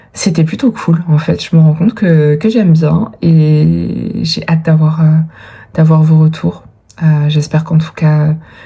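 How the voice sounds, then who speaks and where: A woman speaks with a very deep, low pitch at a fairly slow pace. Her intonation is fairly even, with noticeable background noise behind her. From France, Dordogne (Périgord). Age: 30s. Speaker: vlogger and writer. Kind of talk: casual vlog talk. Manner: hesitant, many fillers.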